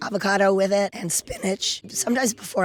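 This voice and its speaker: A woman speaks with an American accent and ordinary pitch variation. Noticeable background noise is present. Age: 70s. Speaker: ninja warrior athlete. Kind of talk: interview answer.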